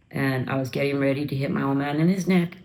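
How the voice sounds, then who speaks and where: At a fairly quick pace, a woman talks in a very deep, low pitch. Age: 50s. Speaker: former drug user sharing her recovery story. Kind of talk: interview testimony.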